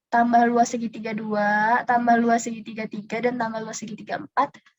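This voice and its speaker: Fairly high-pitched woman's voice with monotone, flat intonation. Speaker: volunteer math tutor. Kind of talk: tutorial. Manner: casual; fast.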